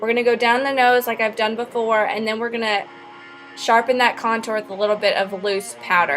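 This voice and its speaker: Over music in the background, a woman talks at a fairly quick pace in a fairly high pitch. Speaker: makeup artist. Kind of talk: tutorial. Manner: casual, playful.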